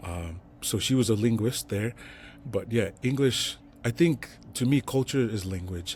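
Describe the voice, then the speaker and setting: This man, with a Tongan accent, has a medium-pitched, somewhat breathy voice and ordinary pitch variation. He speaks at a fairly slow pace in a very clean recording with a silent background. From Salt Lake City, Utah (west side). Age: 40s. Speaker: entrepreneur. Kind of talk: casual interview.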